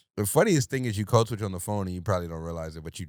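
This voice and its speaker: Fairly low in pitch, a man speaks in an animated tone with ordinary pitch variation. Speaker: podcast co-host. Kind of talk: casual chat. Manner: switches voices and tone often.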